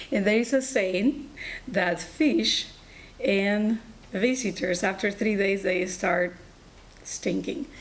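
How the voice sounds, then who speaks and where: At a very slow pace, a woman with a Colombian accent speaks at medium pitch with ordinary pitch variation amid noticeable background noise. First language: Spanish. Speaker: allied health instructor and nurse. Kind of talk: personal story talk.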